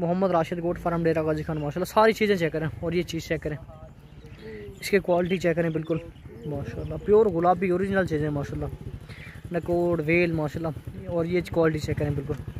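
A man talks in a high pitch with fairly even intonation. The sound is dry with no echo, over light background noise. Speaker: goat farm seller. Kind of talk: sales commentary. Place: farm machine. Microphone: phone near.

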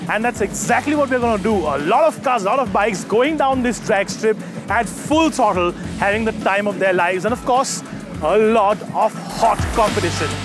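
There is clear music in the background, and the sound is dry with no echo. A man talks at a moderate pace in a high pitch with ordinary pitch variation. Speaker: motoring journalist presenter. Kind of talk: presenter piece to camera. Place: open country. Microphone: lapel.

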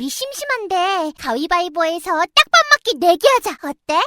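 A woman does a cartoonish character voice at an extremely high pitch, upbeat in tone with very wide pitch swings. She talks at a moderate pace, and the sound is dry and close with no echo. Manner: upbeat, cute.

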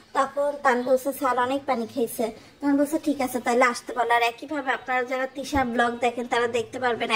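This woman talks in a high pitch with a monotone, flat intonation. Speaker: gossip commentary vlogger. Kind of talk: commentary monologue.

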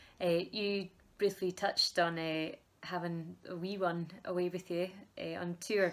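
Speaking fairly slowly in a flat monotone, a woman with a Scottish accent keeps a fairly low pitch. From Scotland. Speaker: folk musician, band member interviewer. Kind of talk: casual chat. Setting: video call. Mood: cheerful, laughing. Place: home room.

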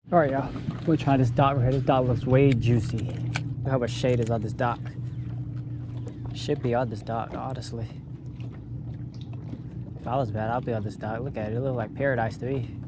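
Dry, echo-free sound at a fairly quick pace, with noticeable background noise. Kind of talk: casual vlog chat. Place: boat. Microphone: phone near.

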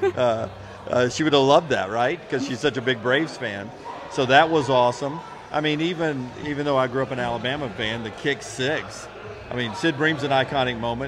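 There is noticeable background noise behind a man speaking with ordinary pitch variation. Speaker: podcast co-host. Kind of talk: casual podcast chat. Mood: nostalgic, animated storytelling. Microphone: handheld.

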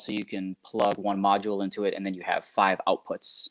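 The background is quiet. A man speaks with a fairly low pitch. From southeastern Wisconsin, US Midwest. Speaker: cable company marketing specialist; guest. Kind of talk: casual interview. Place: home room. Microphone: video call.

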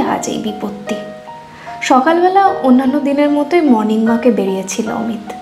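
With clear music in the background, a woman with a fairly high pitch speaks in a lively intonation. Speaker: storyteller. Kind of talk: third-person narration. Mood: gentle, emotive storytelling.

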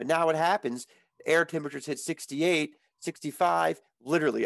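Over a quiet background, a man with an American accent speaks at a fairly high pitch with ordinary variation, the sound dry with no echo. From Maryland. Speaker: outdoors podcast co-host. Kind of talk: casual chat. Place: home room. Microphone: headset.

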